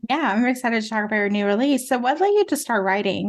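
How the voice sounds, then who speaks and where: Against a quiet background, a woman with a non-native accent speaks at a very fast pace. Her fairly high voice shows ordinary pitch variation. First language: not English. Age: 40s. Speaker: podcast host. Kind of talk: interview.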